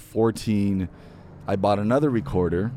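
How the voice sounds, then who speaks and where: With an American accent, a man speaks at a fairly low pitch and a moderate pace. His tone is dark and mellow, with ordinary pitch variation. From Imperial Valley, California (Calexico), then Central Valley. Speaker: voice-over artist. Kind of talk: casual interview. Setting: outdoors seating area of a restaurant.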